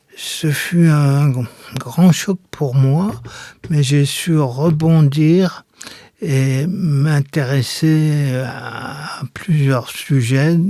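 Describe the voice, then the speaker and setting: A man talks at a very slow pace with fairly even intonation. His voice is fairly high, with a dark, mellow tone. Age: 70s. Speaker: wheelchair user, retired educator. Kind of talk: interview testimony.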